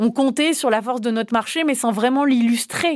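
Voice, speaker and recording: An unremarkable speaking voice from a woman, fairly high in pitch, at a moderate pace with ordinary pitch variation, in a very clean recording with a silent background. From France. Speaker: member of European Parliament. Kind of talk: interview explaining policy. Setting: parliament. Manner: explanatory, fluent.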